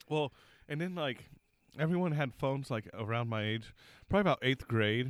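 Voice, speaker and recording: A man with medium pitch and lively intonation talks at a fairly quick pace, broken by long, frequent pauses. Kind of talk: casual banter. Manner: crude, joking.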